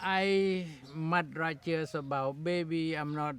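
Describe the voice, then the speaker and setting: With a Khmer accent, the speaker talks at a very slow pace with fairly even intonation. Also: man. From rural Cambodia. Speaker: refugee community leader. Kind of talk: documentary interview.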